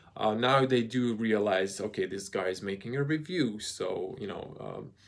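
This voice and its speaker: Delivered at a moderate pace with ordinary pitch variation, the speech carries a slight Croatian accent. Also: man, medium pitch for a man. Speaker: car reviewer, YouTuber. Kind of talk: live stream Q&A. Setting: live video, handheld camera. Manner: hesitant with many fillers.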